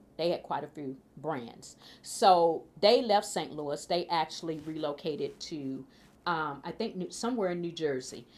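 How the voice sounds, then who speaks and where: In a Mississippi accent, a woman with a fairly low pitch speaks at a moderate pace with lively intonation. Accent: Southern US (Mississippi). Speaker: food policy council chair. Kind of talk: interview answer. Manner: casual, hesitant.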